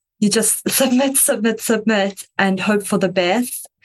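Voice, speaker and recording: Speaking at a moderate pace, a woman has a slight South African accent. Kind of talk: interview answers.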